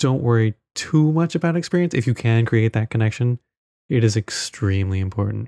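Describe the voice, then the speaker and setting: A man with a dark, mellow tone and medium pitch speaks fairly quickly with lively intonation and very even loudness, the sound dry and close with no echo. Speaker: podcast co-host. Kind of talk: casual chat.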